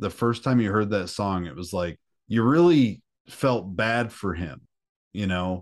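Against a quiet background, a normal speaking voice moves at a fairly slow pace with lively intonation. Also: man, fairly low pitch for a man. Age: 30s. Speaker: metal musician. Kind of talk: casual chat.

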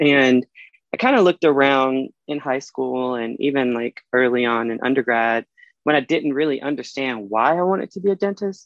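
At a moderate pace, a man with an American accent speaks at medium pitch with ordinary pitch variation. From US South (Alabama). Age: 20s. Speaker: dental student. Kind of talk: casual chat. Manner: confident public speaker.

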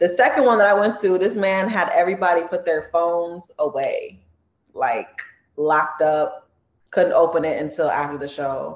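A woman with a Californian accent, fairly low in pitch, lively in intonation, at a moderate pace. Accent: Californian American English. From Los Angeles, Torrance. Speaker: comedy skit creator and singer. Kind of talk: casual interview.

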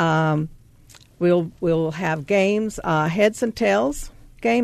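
A woman's fairly low voice with a Southern US accent and very wide pitch swings. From US South. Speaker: charity volunteer. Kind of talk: radio interview.

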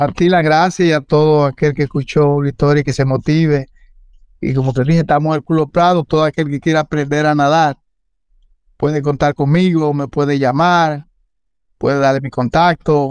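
With a Dominican accent, a man speaks at a moderate pace in a fairly high pitch, his intonation monotone and flat. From Dominican Republic, San Juan de la Maguana then Santo Domingo. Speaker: swimming instructor. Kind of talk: interview.

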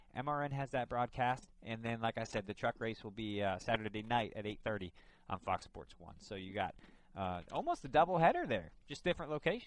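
A man with a plain, everyday voice talks at a moderate pace. His loudness swings widely. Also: medium pitch for a man, lively intonation. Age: 20s. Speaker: motorsports radio host. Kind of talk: casual chat. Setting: studio.

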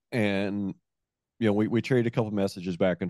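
A man's fairly low, dark, mellow voice sounds dry and close with no echo over a quiet background. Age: 40s. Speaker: podcast host, rancher. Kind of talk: casual interview; rhymed scripted intro.

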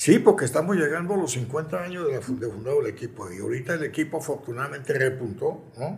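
Lively intonation and vocal fry mark this very fast delivery. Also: man, fairly high pitch for a man. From Colombia. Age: 80s+. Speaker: former football club president. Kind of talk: interview. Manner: halting.

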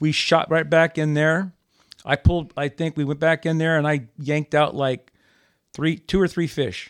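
With a normal speaking voice, a man talks at a moderate pace and a fairly high pitch with fairly even intonation, on a very clean recording with a silent background. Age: 60s. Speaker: bass fisherman. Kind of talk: casual chat. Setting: studio.

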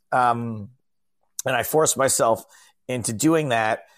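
The speech has an American accent and a fairly slow pace. Its pitch variation is ordinary. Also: man. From upstate New York (Albany). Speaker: stand-up comedian and poker commentator. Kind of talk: casual chat. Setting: video call.

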